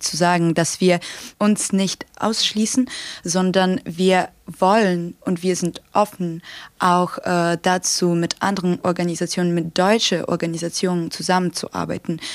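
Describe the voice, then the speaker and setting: A woman's fairly low-pitched voice, monotone and flat in intonation, at a fairly slow pace. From Ukraine, Kharkiv. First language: Ukrainian or Russian (speaking German). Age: 18. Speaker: student activist. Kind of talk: podcast interview. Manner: hesitant, many fillers.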